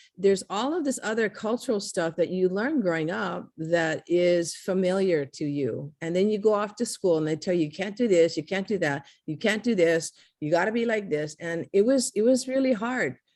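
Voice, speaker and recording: A woman with a Hawaiian accent speaks at a medium pitch and a moderate pace, with hardly any pauses. Her intonation is lively, and the background is quiet. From Hawaii, Kailua. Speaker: artist. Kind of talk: interview.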